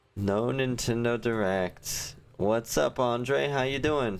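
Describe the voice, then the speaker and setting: Music plays in the background as a man speaks in a relaxed tone. His pitch varies in an ordinary way. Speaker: gaming livestreamer. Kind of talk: casual live stream chat. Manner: casual, relaxed.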